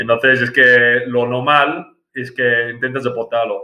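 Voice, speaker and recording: Here a man speaks with an English accent at a medium pitch. His delivery is fairly slow and monotone, with flat intonation. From England, small village. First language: English (speaking Spanish). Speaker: amateur cricket club president. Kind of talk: interview. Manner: halting, many fillers and repetitions.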